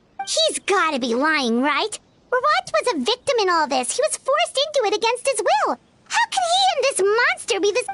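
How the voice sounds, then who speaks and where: A squeaky, put-on character voice at an extremely high pitch swings very widely in pitch at a moderate pace. Music plays in the background. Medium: video game. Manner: earnest, inquisitive.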